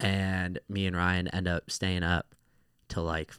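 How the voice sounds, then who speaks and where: In a very deep, low voice with an American accent, a man speaks on a very clean recording with a silent background and a dry, close sound with no echo. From California. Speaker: DJ. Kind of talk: casual chat.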